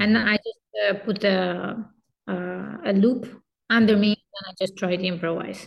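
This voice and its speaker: A woman speaks fairly slowly with a Turkish accent. Her voice is somewhat breathy, with ordinary pitch variation. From Turkey. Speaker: kemenche musician and teacher. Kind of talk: interview.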